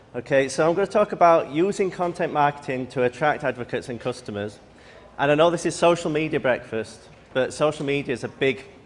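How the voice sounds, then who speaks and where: Fairly high pitch and a fairly quick pace from a man with a British accent. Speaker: conference speaker on content marketing. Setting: live presentation at a breakfast event.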